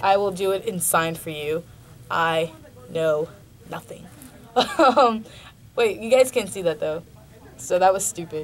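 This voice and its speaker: A woman speaking at a fairly slow pace, with long, frequent pauses, lively intonation and big swings in loudness, over noticeable background noise. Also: medium pitch for a woman. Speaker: college radio host. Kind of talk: radio show talk. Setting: radio studio. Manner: halting, many filler ums.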